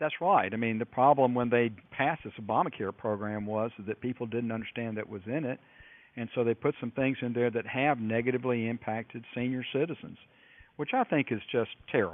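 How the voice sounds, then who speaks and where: A plain, everyday voice, a man with an American accent at a medium pitch. He talks at a fairly quick pace with ordinary pitch variation. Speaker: U.S. congressman. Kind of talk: radio interview answer.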